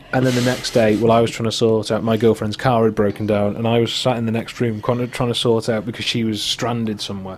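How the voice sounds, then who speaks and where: With a North Welsh accent, a man talks at a very fast pace with hardly any pauses. His medium-pitched voice is monotone and flat. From Wales, Wrexham. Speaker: podcast host. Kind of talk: casual chat.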